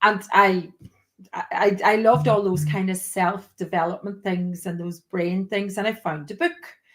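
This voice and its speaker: In a Donegal accent, a woman talks at a fairly slow pace with a medium pitch and fairly even intonation. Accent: Donegal Irish. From Ireland, County Donegal. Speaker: teacher. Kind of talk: interview.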